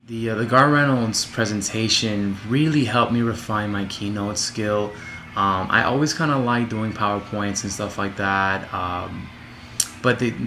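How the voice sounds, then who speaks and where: Fairly slow, fairly low man's voice, fairly even in intonation, with audible room echo and noticeable background noise. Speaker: student. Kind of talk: self-evaluation monologue. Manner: loud; halting, many fillers.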